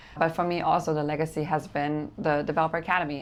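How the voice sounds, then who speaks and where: A woman speaks at a moderate pace with a German accent. Her pitch is very deep and low, over a quiet background. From Germany. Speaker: real estate developer and coach. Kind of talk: interview.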